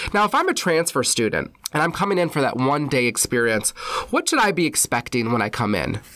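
Speaking at a fairly quick pace with an American accent, a man uses a fairly high, bright, sharp voice with very wide pitch swings and very even loudness. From Wisconsin. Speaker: university orientation director. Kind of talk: podcast interview.

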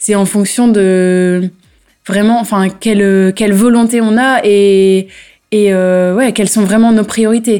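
Monotone, flat speech from a woman at a very slow pace, on a very clean recording with a silent background. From northern France, local to the town. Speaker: organic farmer and local councillor. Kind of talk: interview. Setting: on location at her farm. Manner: halting, many repetitions and fillers.

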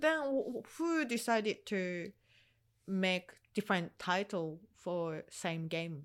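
A very clean recording with a silent background, in a Japanese accent, at a very slow pace with lively intonation. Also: woman, medium pitch for a woman. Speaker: video game podcast co-host. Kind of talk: casual chat. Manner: halting.

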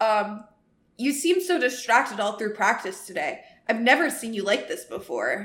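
A natural read-aloud voice with lively intonation

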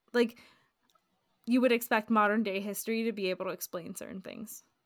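A woman at medium pitch speaks in an enthusiastic tone at a moderate pace, with big swings in loudness and long, frequent pauses. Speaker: podcast co-host. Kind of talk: casual chat. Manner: enthusiastic, interrupts.

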